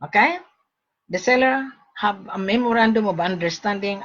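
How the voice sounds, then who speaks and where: At a moderate pace, a woman with a medium pitch speaks with lively intonation. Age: 60s. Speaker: gold broker. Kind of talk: sales pitch. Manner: animated.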